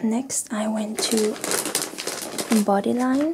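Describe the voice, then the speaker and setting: Soft-spoken and fairly high-pitched, a woman talks very slowly over light background noise. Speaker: haul vlogger. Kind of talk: ASMR soft-spoken clothing haul. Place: home room.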